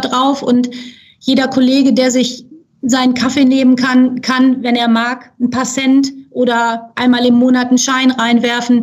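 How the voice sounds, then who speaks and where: In a room with audible echo, a woman with a high voice speaks at a moderate pace with monotone, flat intonation. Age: 50s. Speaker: charity secretary-general. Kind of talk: podcast interview. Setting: studio.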